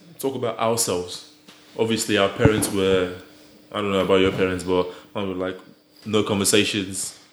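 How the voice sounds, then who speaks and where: A man talks at a fairly quick pace in a fairly low, monotone voice with flat intonation, leaving long, frequent pauses. Noticeable background noise and audible room echo surround him. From Nigeria. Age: young. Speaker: podcast guest. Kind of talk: casual chat.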